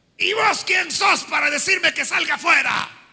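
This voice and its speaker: Shouting in a put-on character voice, a man keeps a moderate pace. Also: extremely high pitch for a man. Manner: defiant, mocking.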